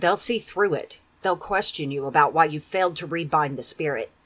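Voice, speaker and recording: A put-on character voice growls at a middle pitch and a moderate pace. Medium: read story. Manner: fierce, defiant.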